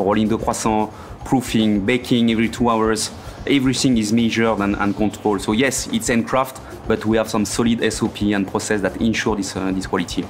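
A man with a French accent speaks at a fairly low pitch with fairly even intonation over noticeable background noise. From France. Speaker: pastry chef. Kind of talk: interview. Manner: slightly halting.

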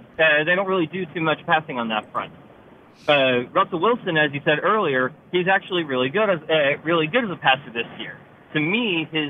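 A man with a fairly high-pitched voice talks at a fairly quick pace over noticeable background noise. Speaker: caller. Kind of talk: radio call-in. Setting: phone call, in a car. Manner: halting.

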